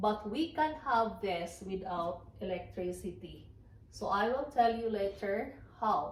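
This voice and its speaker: A woman with a Filipino accent talks at a fairly slow pace in a medium pitch with lively intonation, with audible room echo and noticeable background noise. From Philippines. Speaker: farmer and former teacher. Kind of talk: casual vlog talk. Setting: at home by the fireplace. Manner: halting with fillers.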